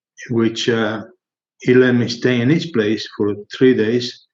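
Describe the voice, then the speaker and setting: A man is speaking. He goes at a very slow pace. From Argentina. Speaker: paintless dent repair pioneer. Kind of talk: interview. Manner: halting.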